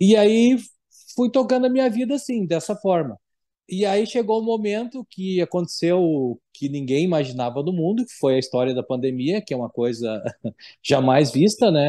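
Over a quiet background, a man with a high pitch and a dark, mellow tone speaks at a moderate pace with very wide pitch swings. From Rio Grande do Sul, Brazil (São Leopoldo); Rio Grande do Sul, Brazil. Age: 40s. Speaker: business owner in public procurement. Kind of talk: interview testimony. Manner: halting, many fillers. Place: home room. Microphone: video call.

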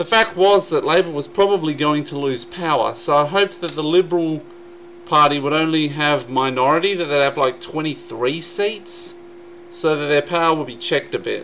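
A man with an Australian accent, fairly high pitch, ordinary pitch variation and moderate pace, over light background noise. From South Australia. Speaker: YouTube vlogger. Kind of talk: angry political rant, vlog-style commentary on election results. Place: home room. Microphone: webcam.

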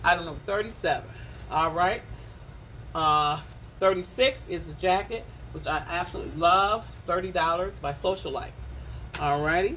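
With an American accent and an animated tone, a woman talks at a fairly slow pace with big swings in loudness and long, frequent pauses over light background noise. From Detroit area, Michigan. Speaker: live-stream clothing seller. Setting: Facebook live stream from a shop. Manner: playful and teasing, chatty. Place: shop.

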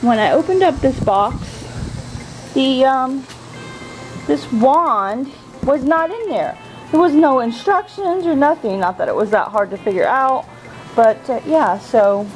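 A high-pitched woman with long, frequent pauses over faint music in the background. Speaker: home vlogger. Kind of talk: casual vlog chat. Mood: mildly annoyed, chatty. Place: garden. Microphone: phone near.

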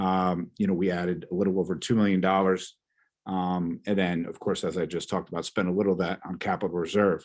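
A man's very deep, low voice, flat and monotone, at a fairly quick pace. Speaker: school business administrator. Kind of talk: board meeting report. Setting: video call. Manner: halting.

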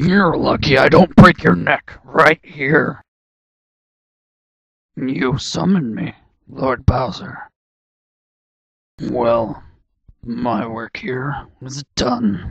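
A man puts on a character voice at a medium pitch. He talks very slowly, with long, frequent pauses. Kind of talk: character audition read. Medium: audio drama.

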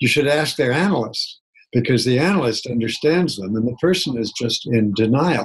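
Somewhat breathy, a man speaks at a moderate pace with lively intonation against a quiet background. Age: 70s. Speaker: psychotherapist and keynote speaker; keynote speaker. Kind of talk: interview. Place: home room. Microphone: webcam.

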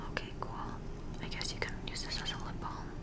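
Loud background noise fills the clip as a woman talks. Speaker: ASMR creator. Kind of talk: ASMR product haul. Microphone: webcam.

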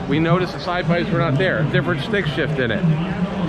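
Loud background noise sits behind a man's voice. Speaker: car vlogger. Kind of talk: casual vlog commentary. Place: hall. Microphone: phone near.

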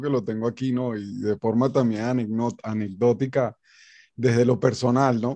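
The background is quiet. A man talks in a dark, mellow tone. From Venezuela. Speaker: guitar academy director and interviewer; interview host, presenter. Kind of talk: interview. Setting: video call. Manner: halting. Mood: warm, respectful. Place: home room. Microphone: studio mic.

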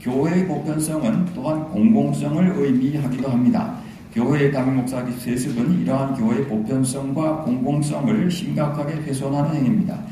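Hardly pausing, a man speaks at a moderate pace amid light background noise and audible room echo. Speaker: professor presenting a statement. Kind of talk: formal prepared address. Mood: serious, measured. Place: hall.

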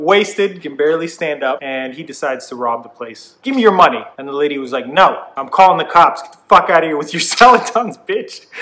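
A man speaks with lively intonation, hardly any pauses and big swings in loudness. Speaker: vlogger. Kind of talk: casual vlog storytelling. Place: home room.

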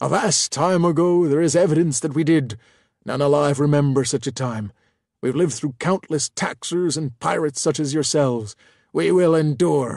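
Loud and raspy, a put-on character voice moves at a moderate pace against a quiet background. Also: man, fairly high pitch for a man. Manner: grandiose, hostile, paranoid.

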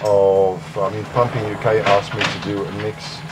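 A man with a Dutch accent at a moderate pace, over noticeable background noise. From Netherlands. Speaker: music producer. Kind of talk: interview. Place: home room.

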